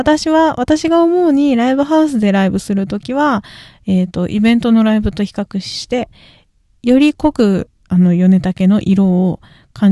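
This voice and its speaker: A woman mumbles in a dark, mellow tone with very wide pitch swings, recorded dry and close with no echo over a quiet background. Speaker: singer and podcast host. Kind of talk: solo casual talk. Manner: mumbling, poor articulation.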